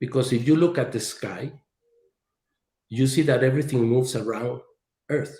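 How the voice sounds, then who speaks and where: A man's medium-pitched, somewhat breathy voice at a moderate pace, with fairly even intonation and long, frequent pauses. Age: 60s. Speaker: engineer and author. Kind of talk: presentation in podcast interview.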